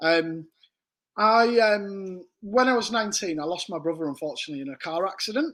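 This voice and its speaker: Speaking at a fairly quick pace, a man with a northern English accent uses a high pitch, lively intonation and big swings in loudness. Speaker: embroidery business owner. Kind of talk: casual interview chat.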